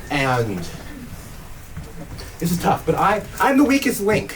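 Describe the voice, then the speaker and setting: Crowd noise fills the background. A man speaks with very wide pitch swings. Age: young. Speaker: stand-up comedian. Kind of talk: stand-up comedy set to a live audience. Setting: live venue, small club.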